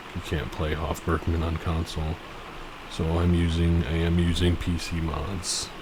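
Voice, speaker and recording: Soft-spoken and monotone, a man with a very deep, low pitch talks at a moderate pace, with flat intonation, audible room echo and noticeable background noise. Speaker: gaming video creator. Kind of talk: gameplay commentary. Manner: casual, halting with fillers.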